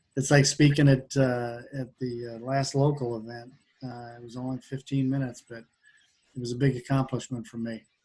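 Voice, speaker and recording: A man speaks at a moderate pace in a medium pitch, somewhat breathy and flat in intonation. His loudness swings widely. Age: 70s. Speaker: mastermind group participant. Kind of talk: book discussion group. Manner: halting, repeats words.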